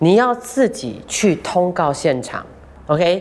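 The delivery is fairly slow. Its pitch swings very widely. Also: woman. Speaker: radio host. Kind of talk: casual interview.

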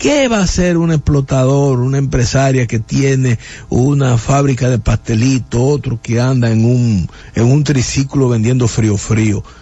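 A man talks fairly slowly at a medium pitch, keeping fairly even intonation and very even loudness over noticeable background noise. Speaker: radio host. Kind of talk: radio interview. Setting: studio.

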